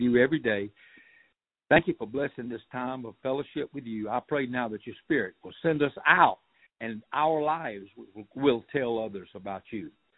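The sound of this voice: A man with a South Georgia accent talks at a fairly quick pace and medium pitch, with ordinary pitch variation and a slightly husky edge. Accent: rural South Georgia, US Southern.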